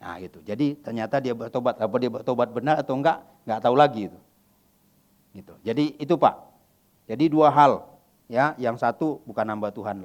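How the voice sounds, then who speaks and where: A man talks at a fairly quick pace with long, frequent pauses, medium pitch, ordinary pitch variation and big swings in loudness. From West Kalimantan, Indonesia. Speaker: pastor. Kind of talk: sermon Q&A. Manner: casual, conversational.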